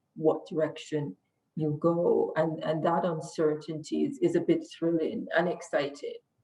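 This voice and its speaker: A woman with a Jamaican accent speaks at a fairly slow pace in a fairly low voice. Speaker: lawyer. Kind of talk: interview.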